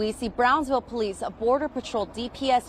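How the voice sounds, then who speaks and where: A woman speaks at a moderate pace in a fairly high pitch with ordinary pitch variation and an ordinary speaking voice. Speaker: television news reporter. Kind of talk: TV news field reporting, live stand-up. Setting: outdoors, on location.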